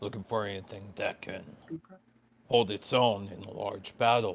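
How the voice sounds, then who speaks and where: Using a put-on character voice, a man speaks at a moderate pace with a fairly low pitch, a raspy sound and fairly even intonation. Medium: actual play. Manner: curt.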